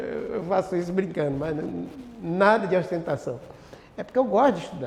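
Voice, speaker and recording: Noticeable background noise surrounds a man whose high pitch carries lively intonation. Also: moderate pace. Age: 60s. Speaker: pastor. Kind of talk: bible class teaching. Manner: halting, frequent self-corrections; interactive, question-and-answer with audience.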